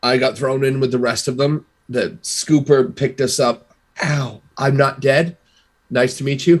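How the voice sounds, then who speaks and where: A man uses a raspy, put-on character voice at a medium pitch. He talks at a moderate pace. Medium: actual play. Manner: halting, stammering.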